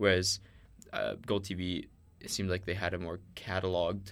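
Recorded very cleanly with a silent background, a man speaks at a very deep, low pitch. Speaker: student podcast co-host. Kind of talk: casual chat.

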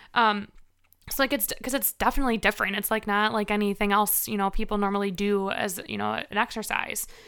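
A woman's medium-pitched voice, bright and sharp, at a fairly quick pace with fairly even intonation, on a very clean recording with a silent background. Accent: American. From Chicago suburbs, Illinois. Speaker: fitness instructor and gym manager. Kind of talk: casual interview chat.

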